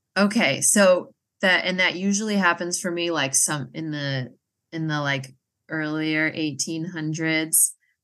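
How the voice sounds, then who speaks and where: With an American accent, a woman speaks in a very deep, low pitch and a bright, sharp tone. Her pace is fairly slow, with ordinary pitch variation. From Massachusetts. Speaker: genealogist. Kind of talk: casual interview.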